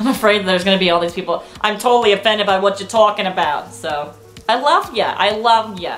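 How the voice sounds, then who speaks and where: A woman talking at a very fast pace, ordinary pitch variation, music in the background. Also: medium pitch for a woman. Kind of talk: casual talk to camera. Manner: chatty, informal.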